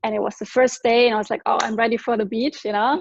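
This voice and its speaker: The speaker has a German accent. Pitch variation is ordinary. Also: woman. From Germany. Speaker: product distributor giving testimony. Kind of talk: testimony.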